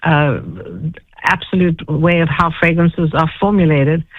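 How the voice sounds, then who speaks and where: In a South African accent, a woman talks at a fairly low pitch with fairly even intonation. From South Africa (Johannesburg). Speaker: fragrance expert and entrepreneur. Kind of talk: interview storytelling.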